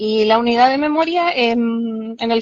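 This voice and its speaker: Her pitch is high for this woman's voice. Its variation is ordinary. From Chile, Valparaíso. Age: 40s. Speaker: social worker. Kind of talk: interview. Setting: live stream.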